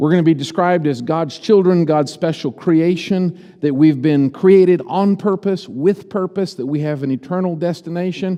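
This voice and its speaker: With hardly any pauses, a high-pitched man speaks at a moderate pace and ordinary pitch variation. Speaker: preacher. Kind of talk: sermon.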